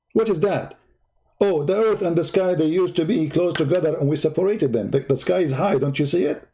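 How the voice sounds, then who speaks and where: In an Arabic accent, a dark, mellow voice goes at a very fast pace with very even loudness and ordinary pitch variation. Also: man, high pitch for a man. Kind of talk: polemical commentary. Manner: animated.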